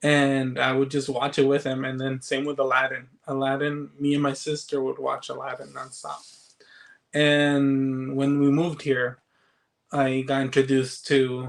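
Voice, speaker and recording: In a flat, monotone delivery, a man speaks at a fairly high pitch. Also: moderate pace. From Chile. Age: 30s. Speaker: movie collector and social media creator. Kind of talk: casual interview chat.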